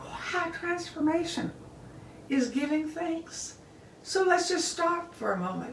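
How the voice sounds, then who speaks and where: Extremely high in pitch, a woman speaks at a very slow pace with noticeable background noise and audible room echo. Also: ordinary pitch variation. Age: 80s+. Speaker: bible teacher. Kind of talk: casual sermon on a live video. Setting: social media live video. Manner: animated.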